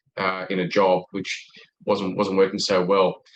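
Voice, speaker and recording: Here is a man with an Australian accent. His pitch sits fairly low. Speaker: sales expert. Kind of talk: podcast interview.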